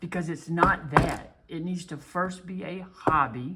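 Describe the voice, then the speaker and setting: A man speaking at a fairly slow pace. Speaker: coin and card collecting youtuber. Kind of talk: casual monologue. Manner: halting.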